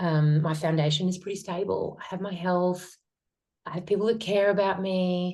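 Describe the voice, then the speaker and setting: A woman with an Australian accent, medium pitch, dark and mellow tone, monotone and flat intonation, and moderate pace. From Australia, north Queensland (Townsville). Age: 40s. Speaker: metabolic therapy practitioner. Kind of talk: interview conversation.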